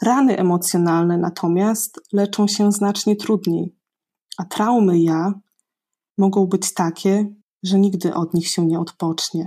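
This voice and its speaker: In a very clean recording with a silent background, a woman speaks at a fairly slow pace with long, frequent pauses, her medium-pitched voice dark and mellow in tone, her loudness very even and her intonation fairly even. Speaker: bilingual German-Polish presenter and reader. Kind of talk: reading aloud.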